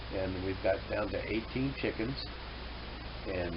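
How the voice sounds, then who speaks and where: A man is speaking with audible room echo. Noticeable background noise is present. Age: 60s. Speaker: hobby farmer and vlogger. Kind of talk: casual monologue to camera. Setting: indoors at home. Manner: halting, many fillers.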